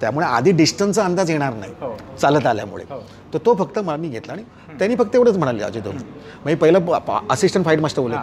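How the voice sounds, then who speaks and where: Big swings in loudness and very wide pitch swings, over light background noise. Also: man, fairly high pitch for a man. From Mumbai, Lalbaug; Mumbai. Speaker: film actor; film actor guest. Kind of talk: interview. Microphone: lapel.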